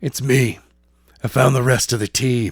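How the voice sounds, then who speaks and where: The put-on character voice is raspy and moves at a moderate pace. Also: man. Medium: read story. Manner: terse, cold.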